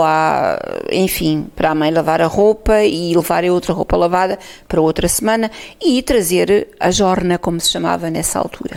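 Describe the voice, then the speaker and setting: A woman is speaking. Her pace is moderate. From Portugal, Alto Alentejo. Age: 60s. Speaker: oral history interviewee. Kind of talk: testimony. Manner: halting.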